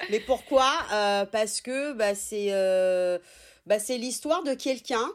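A woman speaks at a very slow pace with a fairly high pitch. The recording is very clean, with a silent background. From Italy, raised in France from childhood. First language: Italian (speaking French). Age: 30s. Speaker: sex therapist. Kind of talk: interview.

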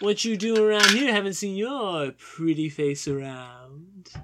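A put-on character voice, drawling at a fairly slow pace in a middle pitch. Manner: drawling, flirtatious.

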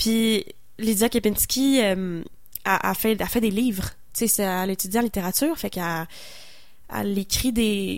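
A woman with a Quebec accent at a fairly slow pace, with long, frequent pauses, in a very clean recording with a silent background. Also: medium pitch for a woman, ordinary pitch variation. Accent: Québécois French. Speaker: singer-songwriter. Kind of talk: casual interview on radio.

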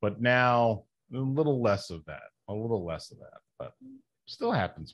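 A man with a normal speaking voice talks at a moderate pace and a medium pitch. His intonation is lively, and his loudness swings widely. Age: 50s. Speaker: pro wrestler and comic book writer. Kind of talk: casual interview chat.

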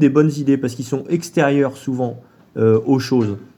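A man speaks with fairly high pitch. His tone is dark and mellow. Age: 40s. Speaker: long-distance cyclist. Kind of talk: interview. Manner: halting.

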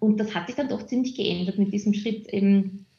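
Fairly high in pitch yet dark and mellow in tone, a woman speaks at a moderate pace in a somewhat breathy voice. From Austria, Vienna. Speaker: HR manager and community lead. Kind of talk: interview. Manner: hesitant, many fillers.

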